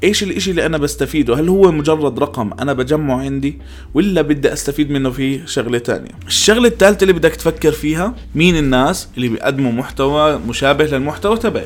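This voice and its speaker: A man talks at a fairly quick pace with hardly any pauses. He has an unremarkable speaking voice, fairly high in pitch, with lively intonation. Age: 20s. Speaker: podcast host. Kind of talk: solo podcast monologue.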